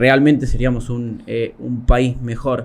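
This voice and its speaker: A man speaks at a medium pitch in an ordinary speaking voice. His intonation stays fairly even. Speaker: show host. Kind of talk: interview.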